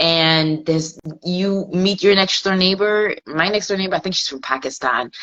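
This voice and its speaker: A woman with an American accent and an unremarkable speaking voice, moderate in pace, with ordinary pitch variation. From England. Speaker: fashion stylist and network marketer. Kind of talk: interview.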